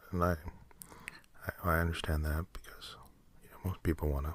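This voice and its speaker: Very fast, mumbled speech. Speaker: ASMR podcast host. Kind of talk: mumbled ASMR ramble. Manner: mumbling; halting, filler-heavy.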